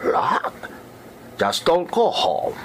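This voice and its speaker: A man performs a put-on character voice. Background noise is clearly present. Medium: audio drama. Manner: pleading, broken English.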